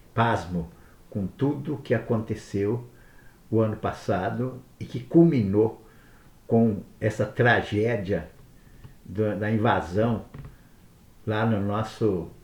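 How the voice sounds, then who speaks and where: A somewhat breathy man at a very slow pace, with ordinary pitch variation and long, frequent pauses. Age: 70s. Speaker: political commentator. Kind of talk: monologue. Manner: halting.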